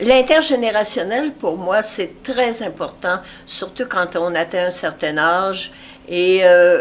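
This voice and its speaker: The speaker goes at a very slow pace, with lively intonation. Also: woman, medium pitch for a woman. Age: 80s+. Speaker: retired amateur theatre actress. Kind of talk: interview. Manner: halting, many hesitations.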